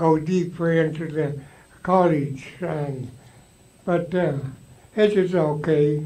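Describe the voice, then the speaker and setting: Intonation stays fairly even as a man talks at a very slow pace. His pitch is high. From Alaska Native, Tsimshian. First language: Tsimshian (Sm'algyax). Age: 80s+. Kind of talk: storytelling to a live audience. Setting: live event, audience. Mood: warm, reminiscing. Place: hall.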